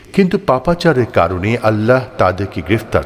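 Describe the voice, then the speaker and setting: A fairly low-pitched man amid noticeable background noise. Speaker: news reader. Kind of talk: scripture translation reading.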